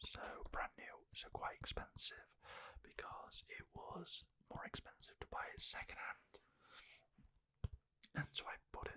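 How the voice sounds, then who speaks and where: A whispering voice moves at a fairly slow pace with long, frequent pauses. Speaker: ASMR creator. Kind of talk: ASMR whispered talk about a game collection. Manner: whispered.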